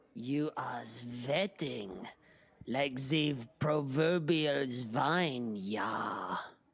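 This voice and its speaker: Putting on a character voice at medium pitch, a man speaks at a very slow pace. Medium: audio drama. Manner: clipped, stern.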